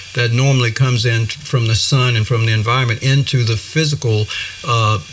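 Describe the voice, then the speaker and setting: A man's medium-pitched voice with fairly even intonation, against noticeable background noise. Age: 60s. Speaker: breatharian spiritual teacher. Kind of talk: interview. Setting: studio. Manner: halting, many fillers.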